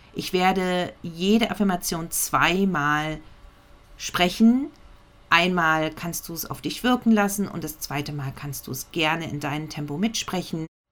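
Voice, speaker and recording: With an unremarkable speaking voice, a woman talks fairly slowly at a fairly low pitch, using ordinary pitch variation and big swings in loudness. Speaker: podcast host and meditation guide. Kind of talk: guided meditation with affirmations, spoken twice. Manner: calm, slow, soothing and gentle with pauses; warm, intimate, direct address to the listener.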